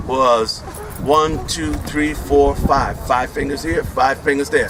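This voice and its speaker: Against noticeable background noise, a man talks in an animated tone at a fairly slow pace. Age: 60s. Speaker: education professor and activist speaker. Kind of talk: community meeting speech. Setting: community meeting with audience.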